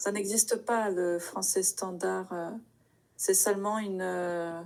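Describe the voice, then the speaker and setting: A woman delivers her words very slowly at medium pitch with monotone, flat intonation, in a very clean recording with a silent background. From Paris, France. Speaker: French tutor. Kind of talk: language lesson conversation.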